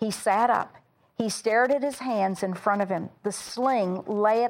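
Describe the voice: The speaker uses plain reading aloud, with ordinary pitch variation.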